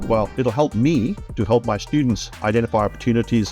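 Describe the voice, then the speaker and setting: Over music in the background, a man with a South African accent talks at a fairly quick pace in a fairly low pitch. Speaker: IT trainer. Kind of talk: testimonial interview answer.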